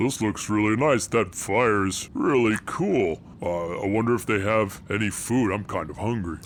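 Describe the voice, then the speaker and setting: Over clear background noise, a man puts on a character voice pitched fairly low. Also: moderate pace. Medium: actual play. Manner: cheerful, upbeat.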